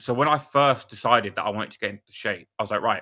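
A man at a fast pace, with fairly low pitch, ordinary pitch variation and a bright, sharp tone

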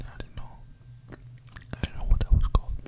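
Whispering from a man. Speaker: ASMR creator. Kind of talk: casual storytelling chat. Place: home room. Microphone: studio mic.

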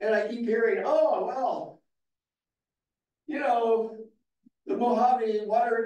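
A man speaks at an extremely high pitch with ordinary pitch variation, with audible room echo and a quiet background. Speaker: public commenter. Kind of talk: public comment speech. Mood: critical, exasperated. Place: hall.

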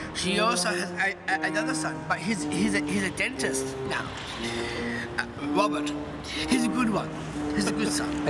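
Loud music plays behind a man speaking at a moderate pace. He leaves long, frequent pauses. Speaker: interviewee. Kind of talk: interview answer. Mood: enthusiastic, opinionated.

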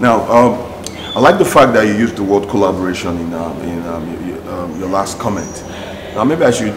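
There is noticeable background noise. A man speaks at a fairly low pitch. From Nigeria. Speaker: TV talk show host. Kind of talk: interview. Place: studio.

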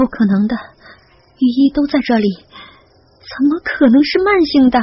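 The speaker puts on a character voice with lively intonation at a fairly slow pace. It sounds strained, with a slightly husky edge. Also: woman, high pitch for a woman.

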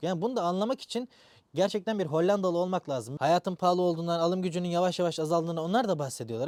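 A man speaks at a very fast pace with a high pitch and ordinary pitch variation. The sound is dry and close, with no echo. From Turkey. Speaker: YouTuber, software engineer. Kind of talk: vlog monologue.

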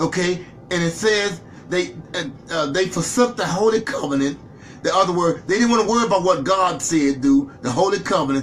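This man talks at a moderate pace with lively intonation and a high pitch. Noticeable background noise sits behind his voice. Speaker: Bible class preacher. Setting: live online video stream.

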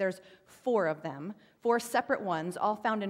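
Moderate pace with ordinary pitch variation. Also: woman. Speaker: pastor. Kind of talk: sermon. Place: church.

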